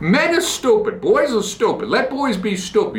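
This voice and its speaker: A man with a Boston accent at a moderate pace, animated in tone, with audible room echo. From US Northeast, Boston. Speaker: podcast host. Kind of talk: casual monologue.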